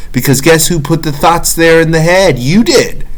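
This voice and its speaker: A man's fairly high voice with ordinary pitch variation, audible room echo and noticeable background noise. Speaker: self-help vlogger. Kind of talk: motivational monologue. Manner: preachy.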